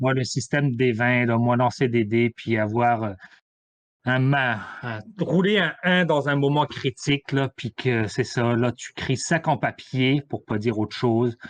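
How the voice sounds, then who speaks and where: A man talks at a very slow pace with a medium pitch and ordinary pitch variation. The sound is dry and close, with no echo. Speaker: podcast guest, role-playing gamer. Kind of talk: casual chat.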